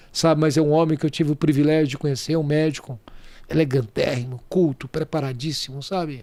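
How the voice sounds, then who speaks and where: A man speaks at a moderate pace with a dark, mellow tone. His pitch is fairly high, and his intonation stays fairly even. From Brazil, Goiás. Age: 60s. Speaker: real estate entrepreneur. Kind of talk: podcast interview.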